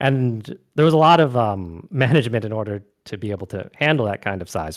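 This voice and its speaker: With an American accent, a man speaks at a medium pitch with very wide pitch swings on a very clean recording with a silent background. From US West Coast. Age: young. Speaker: gamer and streamer. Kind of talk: casual chat.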